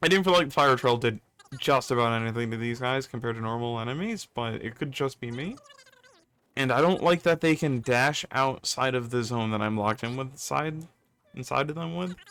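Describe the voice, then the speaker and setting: Here is a man with a plain, everyday voice. He talks at a fairly quick pace with ordinary pitch variation. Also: medium pitch for a man. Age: 30s. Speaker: gaming YouTuber. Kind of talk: gameplay commentary. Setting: home recording, wrong mic. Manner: casual, rambling.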